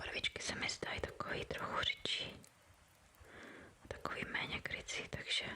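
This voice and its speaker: A woman whispering at a moderate pace, with long, frequent pauses and noticeable background noise. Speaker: ASMR creator. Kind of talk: ASMR painting video. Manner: whispered.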